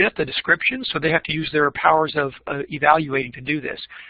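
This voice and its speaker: A man is talking. His voice sits at a fairly high pitch. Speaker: teacher education professor. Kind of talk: keynote presentation. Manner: fast.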